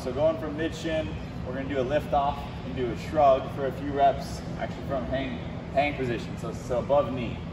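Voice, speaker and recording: Noticeable background noise accompanies a man who speaks at a moderate speed. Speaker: fitness coach. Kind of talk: tutorial. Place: gym. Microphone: camera far.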